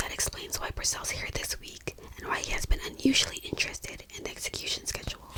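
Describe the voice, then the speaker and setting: The voice whispers at a very fast pace with hardly any pauses. Noticeable background noise runs underneath. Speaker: ASMR creator. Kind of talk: bedtime story reading. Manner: whispered, soft-spoken.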